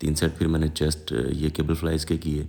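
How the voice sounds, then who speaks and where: A man's very deep, low voice has a dark, mellow tone and a monotone, flat intonation, moving at a moderate pace. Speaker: fitness vlogger. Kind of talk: workout narration.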